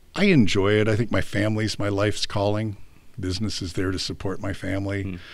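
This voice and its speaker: A man with an American accent and a fairly low pitch talks at a fairly quick pace in a monotone, flat delivery. There is audible room echo. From California. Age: 60s. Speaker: business broker. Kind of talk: interview.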